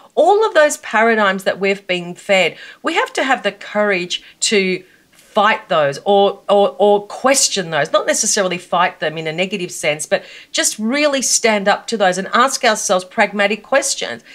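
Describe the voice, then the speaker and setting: Her intonation lively, a woman with an Australian accent speaks at a medium pitch. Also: moderate pace. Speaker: personal brand coach. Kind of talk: interview. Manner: emphatic.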